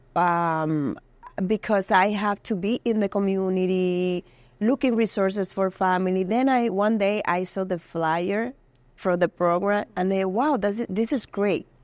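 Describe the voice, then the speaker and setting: Keeping her loudness very even, a woman with a Dominican accent speaks fairly slowly at a medium pitch. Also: ordinary pitch variation, dry, close sound with no echo. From Dominican Republic. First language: Spanish. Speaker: community health worker. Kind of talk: interview. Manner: halting.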